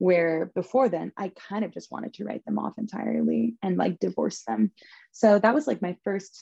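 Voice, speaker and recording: A woman with an American accent speaks at a moderate pace, her tone dark and mellow with ordinary pitch variation, in a dry, close sound with no echo. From Southern California. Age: 20s. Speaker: spiritual practitioner. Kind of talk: casual chat.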